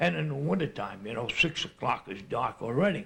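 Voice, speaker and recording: A man with an American accent, a fairly high pitch and very wide pitch swings. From New Jersey. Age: 70s. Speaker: elderly local resident. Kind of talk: oral history interview. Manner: halting.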